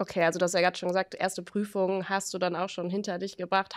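A woman talks very fast at a medium pitch. The background is quiet. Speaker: podcast host. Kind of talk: casual interview. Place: meeting room. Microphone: studio mic.

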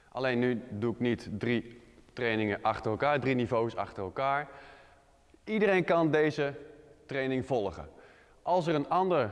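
Against a quiet background, a man talks at a fairly slow pace with long, frequent pauses. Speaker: fitness trainer. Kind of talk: workout tutorial. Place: gym.

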